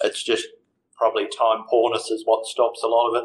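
The speaker is a man with an Australian accent. He keeps a fairly quick pace. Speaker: financial adviser. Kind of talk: interview.

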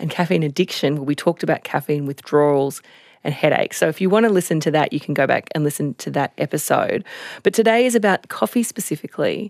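In a dry, close recording with no echo and a silent, very clean background, a woman talks with lively intonation at a very deep, low pitch. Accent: Australian. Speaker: health reporter. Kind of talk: casual chat. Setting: studio.

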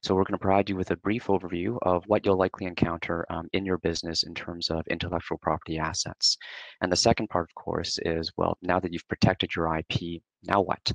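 Against a quiet background with a dry, echo-free sound, a man talks at a fairly quick pace in a very deep, low voice with fairly even intonation. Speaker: presenter. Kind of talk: webinar presentation. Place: home room. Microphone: headset.

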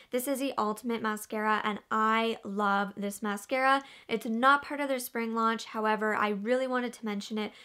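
Bright and sharp in tone, a woman speaks at a moderate pace. Her intonation is fairly even, and the background is quiet. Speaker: beauty vlogger. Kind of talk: casual product review chat. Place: home room.

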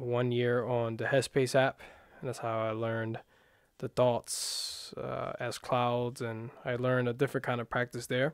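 A man speaks at a fairly slow pace in a flat monotone. The sound is dry with no echo, over a quiet background. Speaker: meditation guide. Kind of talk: guided meditation. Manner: calm, unhurried, soft-spoken guiding; hesitant, self-correcting, casual. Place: home room.

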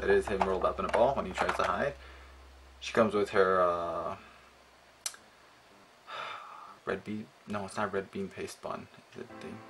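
A man speaks at a fairly quick pace. Background noise is noticeable. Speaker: figure reviewer. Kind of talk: casual review commentary. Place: home room. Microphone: phone near.

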